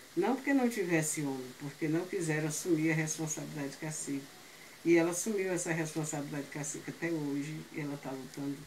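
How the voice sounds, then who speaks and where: A woman's very deep, low-pitched voice amid audible room echo and noticeable background noise. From Brazil, Ceará (Aquiraz). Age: 70s. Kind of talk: oral history storytelling. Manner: halting.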